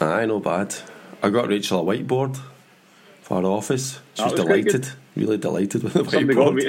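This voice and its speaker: A man at a medium pitch with lively intonation, a fairly quick pace and long, frequent pauses, over noticeable background noise. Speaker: podcast host.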